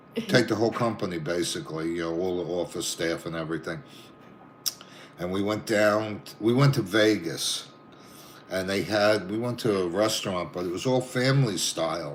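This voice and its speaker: In a Brooklyn accent, a man speaks at a moderate pace with a fairly low pitch and ordinary pitch variation, over noticeable background noise. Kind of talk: casual chat, telling anecdotes. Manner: animated.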